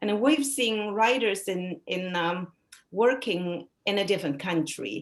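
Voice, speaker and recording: A woman speaks with a Chinese accent at a fairly slow pace. Her medium-pitched voice has lively intonation. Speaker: novelist. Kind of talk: interview conversation.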